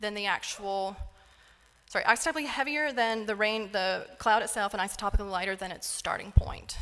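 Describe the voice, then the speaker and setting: A woman talks at a fairly quick pace with a fairly high pitch. Her tone is bright and sharp. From North Carolina. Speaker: isotope scientist. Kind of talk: lecture.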